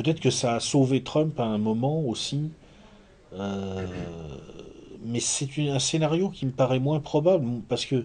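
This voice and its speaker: Intonation here is lively. The voice has a dark, mellow tone. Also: man. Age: 40s. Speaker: essayist and lecturer. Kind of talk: lecture. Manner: halting with frequent repetitions.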